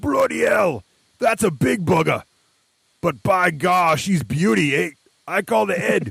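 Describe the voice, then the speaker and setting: A man puts on a character voice with a high pitch. He talks fairly slowly, with long, frequent pauses. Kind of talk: gruff, rustic.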